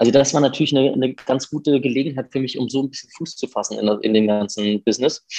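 A man's voice with a dark, mellow tone rushes at a very fast pace with hardly any pauses. The sound is dry and close, with no echo. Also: medium pitch for a man, ordinary pitch variation. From Germany, Hesse (near Fulda). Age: 30s. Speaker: violinist and music professor. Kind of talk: interview conversation. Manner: hesitant, many filler sounds.

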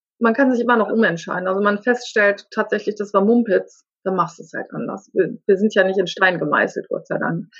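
The voice is somewhat breathy and swings greatly in loudness. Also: woman, medium pitch for a woman. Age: 50s. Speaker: life coach. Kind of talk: interview. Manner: halting.

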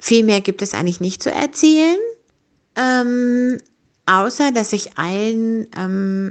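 A woman speaks very slowly in a fairly high pitch, her intonation lively. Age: 50s. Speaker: rehab clinic service worker. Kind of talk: personal monologue, guest contribution.

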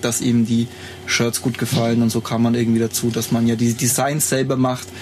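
A man's medium-pitched, monotone, flat delivery at a fairly quick pace with very even loudness, amid noticeable background noise. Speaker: photographer and graphic designer. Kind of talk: casual chat. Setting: shared single microphone in a lounge on tour.

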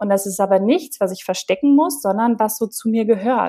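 With a dark, mellow tone and fairly high pitch, a woman speaks at a moderate pace with ordinary pitch variation. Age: 30s. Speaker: copywriter and confidence coach. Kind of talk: interview. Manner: hesitant with many fillers.

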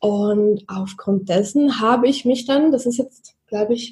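A woman's fairly high, dark, mellow voice with lively intonation at a fairly slow pace. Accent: slight Swiss German. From Switzerland, Zurich. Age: 30s. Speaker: social media marketing consultant. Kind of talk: podcast interview.

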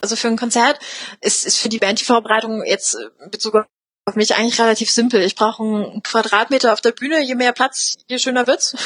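In a dry, close sound with no echo, a woman with a fairly high pitch speaks at a fairly quick pace. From eastern Germany, Spreewald (Lübben, Brandenburg). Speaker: sign language interpreter. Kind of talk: interview. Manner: animated, with many fillers.

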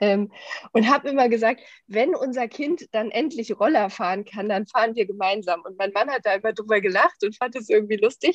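A woman with a plain, everyday voice speaks at a fairly quick pace and a fairly high pitch, the sound dry and close with no echo. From Germany, Düsseldorf. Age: 30s. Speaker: corporate training manager. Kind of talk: casual interview.

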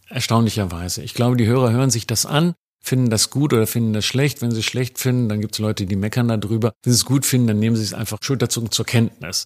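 Speaking at a very fast pace with hardly any pauses, a man keeps fairly even intonation in a dry, close sound with no echo, on a very clean recording with a silent background. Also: medium pitch for a man. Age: 60s. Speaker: journalist. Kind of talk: interview.

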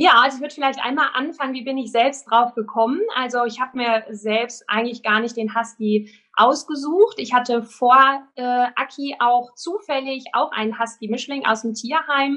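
Bright and sharp in tone, a woman's high-pitched voice keeps a moderate pace with hardly any pauses. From Germany, Sauerland. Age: 30s. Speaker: dog trainer. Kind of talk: interview. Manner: hesitant, many filler sounds.

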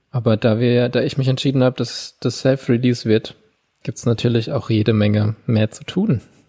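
This man has a dark, mellow tone at a medium pitch, somewhat breathy. He talks at a moderate pace with fairly even intonation, in a dry, close sound with no echo. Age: 30s. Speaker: podcast co-host. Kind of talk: casual chat.

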